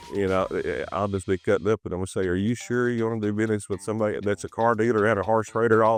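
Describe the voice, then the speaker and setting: Over music in the background, a man with a strong Texan accent and a fairly low pitch talks at a very fast pace with hardly any pauses and monotone, flat intonation, the sound dry and close with no echo. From Texas. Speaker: car dealership sales director. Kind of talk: interview. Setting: on location, Marco Island.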